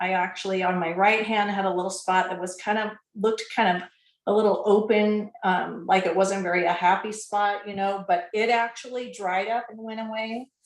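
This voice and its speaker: At a moderate pace, a woman with a medium pitch speaks in a flat monotone, though her loudness swings widely. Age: 60s. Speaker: product testimonial giver. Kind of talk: testimony.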